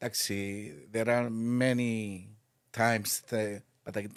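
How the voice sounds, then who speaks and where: A man talks at a fairly slow pace with a non-native accent. His intonation is monotone and flat. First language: non-native English speaker. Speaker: retired hotel head of purchasing. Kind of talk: interview answer. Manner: hesitant.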